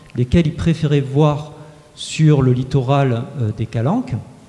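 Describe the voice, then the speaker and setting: A man speaks at a fairly high pitch with ordinary pitch variation. There is noticeable background noise. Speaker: researcher presenting survey results. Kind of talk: conference presentation. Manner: fast; hesitant with frequent filler euh.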